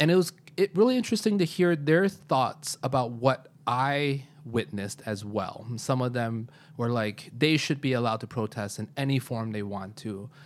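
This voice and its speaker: A man in a normal speaking voice with an American accent, at a medium pitch and a moderate pace, with lively intonation. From US Midwest, Chicago. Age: 30s. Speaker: computer science teacher. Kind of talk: casual chat. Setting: living room.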